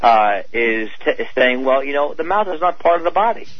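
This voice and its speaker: A man speaks over noticeable background noise. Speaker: dentist and author. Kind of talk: radio interview.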